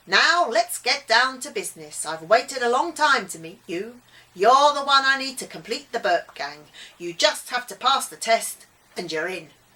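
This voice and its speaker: In a put-on character voice, a woman drawls at a moderate pace with a high pitch. Her pitch swings very widely, and her loudness rises and falls sharply. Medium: read story. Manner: drawling.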